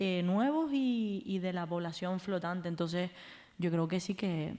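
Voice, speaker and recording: A woman talks at a medium pitch and moderate speed, her pitch varying in an ordinary way. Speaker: biologist and activist. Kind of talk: live podcast interview. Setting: live event with audience. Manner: halting.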